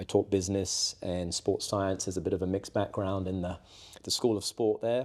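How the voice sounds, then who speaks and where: In a very clean recording with a silent background, a man with an English accent talks at a moderate pace, his fairly low voice flat and monotone. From southwest England. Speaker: roofing company salesperson, former basketball coach. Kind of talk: casual interview. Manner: hesitant, many fillers and repeats.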